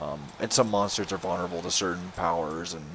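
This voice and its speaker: Fairly quick in pace, a man talks with fairly even intonation. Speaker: gaming channel host. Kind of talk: video game commentary. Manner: monotone.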